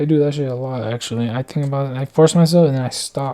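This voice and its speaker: A man speaks very fast, his fairly high voice held to a fairly even intonation. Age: 30s. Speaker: vlogger. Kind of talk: casual monologue. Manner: rambling, halting.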